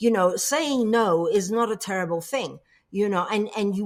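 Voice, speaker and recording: Speaking at a moderate pace, a woman has a medium-pitched voice. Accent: English. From England. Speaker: coach and public speaker. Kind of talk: interview.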